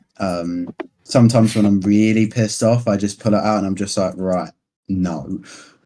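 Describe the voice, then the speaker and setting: With a British accent, a man speaks at a moderate pace in a fairly low, dark, mellow voice with fairly even intonation. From United Kingdom. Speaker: gaming clan officer. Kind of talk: casual podcast interview.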